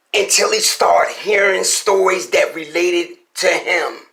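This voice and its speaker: A man uses a put-on character voice that sounds raspy. He speaks at a moderate pace. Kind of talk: storytelling podcast narration. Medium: solo performance. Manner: casual, sincere, conversational.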